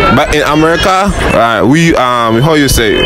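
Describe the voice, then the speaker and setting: Music plays in the background as a man talks with ordinary pitch variation, the sound dry with no echo. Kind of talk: interview answer. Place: shop.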